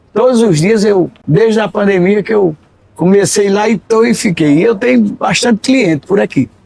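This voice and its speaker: A man's high-pitched voice at very even loudness. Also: ordinary pitch variation, moderate pace. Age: 70s. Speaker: repentista poet and radio presenter. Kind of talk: casual interview chat.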